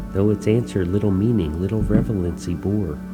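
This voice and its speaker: With music in the background, a man speaks at a moderate pace in a very deep, low pitch. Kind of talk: poetry reading.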